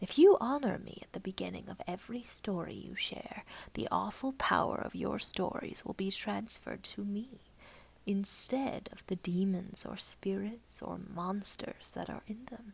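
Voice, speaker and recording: A female-sounding voice puts on a growling character voice at a medium pitch. The pace is moderate. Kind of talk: horror narration. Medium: read story. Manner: solemn, terse, imperious.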